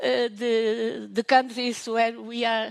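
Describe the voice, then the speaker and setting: Very slowly, a woman speaks with a Portuguese accent. Her pitch sits high. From Portugal. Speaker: professor. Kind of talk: conference talk. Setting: online conference. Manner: halting.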